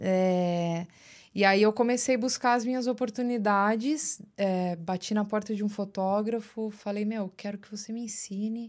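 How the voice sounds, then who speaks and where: Recorded very cleanly against a silent background, a woman with an ordinary speaking voice and fairly high pitch talks at a fairly slow pace, her intonation fairly even and her loudness swinging widely. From São Paulo, Brazil (Osasco area). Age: 30s. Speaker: audiovisual producer. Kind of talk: casual interview chat. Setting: studio.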